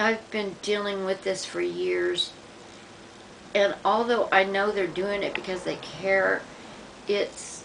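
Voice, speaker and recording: Speech comes at a very slow pace with long, frequent pauses. Noticeable background noise and audible room echo fill the recording. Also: woman. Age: 60s. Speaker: vlogger documenting medication withdrawal. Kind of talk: personal video diary. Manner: halting.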